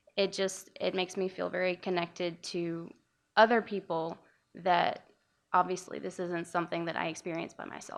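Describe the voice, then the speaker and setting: Against a quiet background, a soft-spoken woman talks at a moderate pace. Her fairly low voice keeps a monotone, flat intonation. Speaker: audience member. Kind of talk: audience comment.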